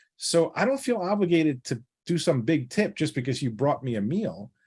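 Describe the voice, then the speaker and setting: On a very clean recording with a silent background, a man with a slight New York accent talks at a fairly high pitch with very wide pitch swings. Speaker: financial planner. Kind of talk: podcast interview. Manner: direct.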